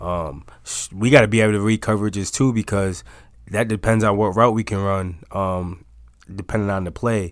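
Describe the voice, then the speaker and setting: In a normal speaking voice with an American accent, the speaker goes at a moderate pace with fairly even intonation, on a very clean recording with a silent background. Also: man, fairly low pitch for a man. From upstate New York, Auburn. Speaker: college football player. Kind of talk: casual interview.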